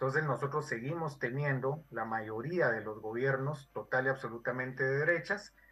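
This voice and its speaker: A normal speaking voice from a man, medium in pitch with ordinary variation, at a moderate pace with hardly any pauses. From Guatemala. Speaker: historian and social anthropologist. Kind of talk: interview. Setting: video call. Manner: formal.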